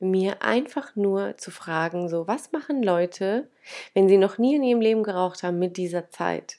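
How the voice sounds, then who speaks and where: Woman's medium-pitched voice, fairly slow, with very wide pitch swings, on a very clean recording with a silent background. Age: 30s. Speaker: podcast host, manifestation coach. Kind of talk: personal story monologue. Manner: casual, many filler sounds.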